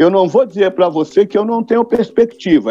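A man talks in a dark, mellow tone with a high pitch for a man. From Volta Redonda, Rio de Janeiro state, Brazil. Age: 60s. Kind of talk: podcast interview.

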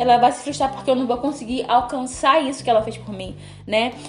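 A woman's high-pitched voice with ordinary pitch variation, music in the background. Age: 20s. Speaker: podcast host. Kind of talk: casual chat. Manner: animated.

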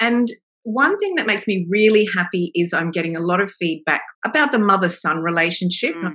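With an Australian accent, a woman speaks at a fairly quick pace in a medium-pitched, bright, sharp tone with lively intonation. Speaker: novelist. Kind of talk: interview.

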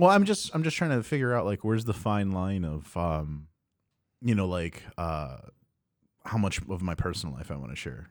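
Very deep and low in pitch yet swinging very widely, a man's voice comes at a moderate pace on a very clean recording with a silent background. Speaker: podcast host. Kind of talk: casual banter. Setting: live stream.

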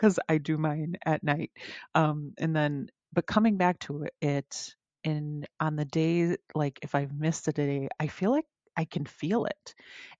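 A woman speaks at a fairly slow pace in a very deep, low voice, her intonation fairly even. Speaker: podcast host. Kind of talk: casual chat.

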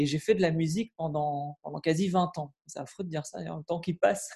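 High in pitch, a man talks with ordinary pitch variation. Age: 30s. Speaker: property investor and TV journalist. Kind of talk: casual interview.

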